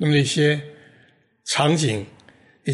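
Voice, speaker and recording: A man speaks at a fairly slow pace in a fairly high, somewhat breathy voice. There is audible echo from the room. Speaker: podcast host. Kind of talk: reflective monologue.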